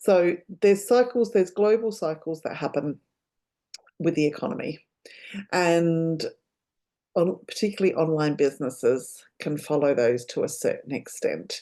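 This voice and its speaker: A woman speaks at a moderate pace in a fairly low, dark and mellow voice with lively intonation. She leaves long, frequent pauses. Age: 60s. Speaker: business coach. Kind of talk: solo talk to camera.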